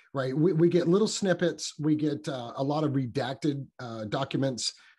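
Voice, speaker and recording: The man's tone is dark and mellow, and somewhat breathy. The background is quiet. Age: 50s. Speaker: podcaster. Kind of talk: casual chat. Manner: halting.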